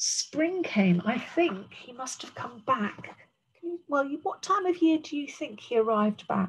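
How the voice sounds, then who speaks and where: With a British accent and a gentle, warm tone, a woman speaks at a high pitch and a fairly slow pace, with very wide pitch swings and big swings in loudness over light background noise. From England. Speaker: primary school teacher. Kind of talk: bedtime-style story reading aloud to young children, with commentary on the pictures. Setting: recorded video lesson for a school class. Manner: gentle, warm and expressive, with slow, clear pacing and pauses to point at pictures; explains words simply and addresses children directly. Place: home room. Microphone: webcam.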